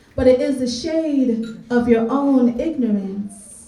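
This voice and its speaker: A woman speaks fairly slowly at a high pitch with noticeable background noise. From Canada (Greater Toronto Area). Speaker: spoken word artist. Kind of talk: spoken word poetry performance.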